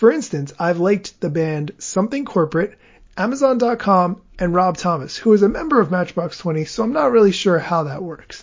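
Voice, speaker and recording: A man speaks at a fairly quick pace with lively intonation. His pitch is high. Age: 40s. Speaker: podcast host. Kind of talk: solo news podcast.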